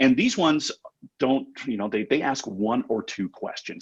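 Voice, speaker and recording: A man with a Canadian accent and a normal speaking voice, medium in pitch, talking at a fairly quick pace. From Canada. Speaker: chatbot company representative. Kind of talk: webinar panel discussion. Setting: live webinar. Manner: conversational, many filler words.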